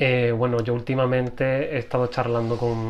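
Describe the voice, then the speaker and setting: A man's voice at a medium pitch. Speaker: interviewer. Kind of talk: interview questions.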